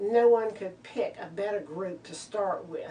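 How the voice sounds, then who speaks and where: A woman speaks at a very slow pace in a medium pitch. Her ordinary pitch variation sits over noticeable background noise. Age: 60s. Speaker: novice skydiver. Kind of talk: oral history interview. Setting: drop zone. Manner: halting.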